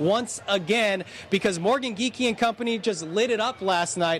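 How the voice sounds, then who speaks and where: There is noticeable background noise. A man with a high pitch speaks at a moderate pace. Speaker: sports reporter. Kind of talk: live TV sports segment.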